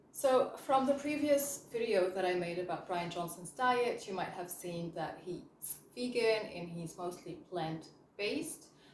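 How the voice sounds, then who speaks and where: A woman with a slight French accent, medium pitch and lively intonation, at a fairly slow pace with hardly any pauses and big swings in loudness. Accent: slight French hint. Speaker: chemist and health coach. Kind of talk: educational vlog. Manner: casual, with fillers.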